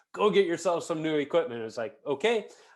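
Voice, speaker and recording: A man with a normal speaking voice, fairly quick pace and lively intonation. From US Midwest, Chicago. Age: 40s. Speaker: podcast host and amateur hockey goalie. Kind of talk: casual interview chat.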